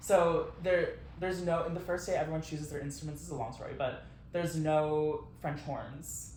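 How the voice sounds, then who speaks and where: Over noticeable background noise and audible room echo, a man with a fairly high pitch speaks at a moderate pace with fairly even intonation. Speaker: podcast co-host. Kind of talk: casual chat.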